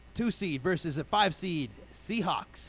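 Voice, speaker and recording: Fairly high in pitch, the man's voice moves with lively intonation. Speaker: sports radio show host. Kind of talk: casual sports talk panel. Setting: radio studio. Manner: fast.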